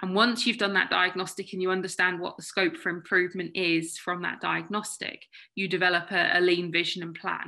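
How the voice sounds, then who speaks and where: A woman speaks with a British accent at a medium pitch, in a flat, monotone intonation. Her pace is fairly quick, with hardly any pauses. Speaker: consultant webinar presenter. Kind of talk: webinar presentation. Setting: online video webinar. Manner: fast.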